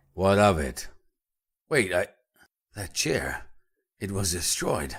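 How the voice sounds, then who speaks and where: Speaking at a fairly slow pace, a man puts on a raspy character voice with lively intonation and fairly low pitch. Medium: audio drama. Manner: grumbling, flustered.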